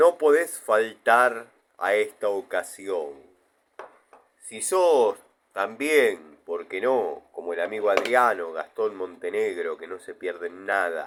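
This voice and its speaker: In a Rioplatense accent, a man speaks at a very slow pace with big swings in loudness. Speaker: YouTuber tool reviewer. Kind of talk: mock infomercial. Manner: dramatic.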